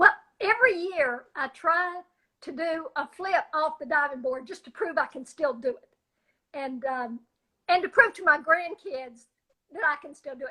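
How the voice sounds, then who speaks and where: A raised, projected voice with a bright, sharp tone, lively intonation and big swings in loudness. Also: woman, extremely high pitch for a woman, moderate pace. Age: 70s. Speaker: jiu-jitsu practitioner, grandmother. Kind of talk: interview answer.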